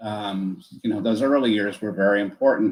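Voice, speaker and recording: This man has an unremarkable speaking voice with an American accent. His pitch sits in the medium range, with ordinary variation. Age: 60s. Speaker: author. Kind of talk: interview.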